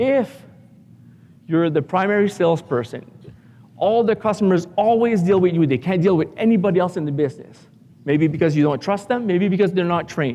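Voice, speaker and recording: High male voice at a fairly quick pace, lively in intonation, broken by long, frequent pauses. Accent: French-Canadian. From Canada, Ottawa. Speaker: business coach for contractors. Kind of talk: conference talk. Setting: stage with audience.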